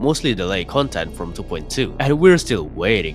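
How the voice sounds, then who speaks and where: Music plays behind a man who talks at a fairly quick clip. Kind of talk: video essay narration.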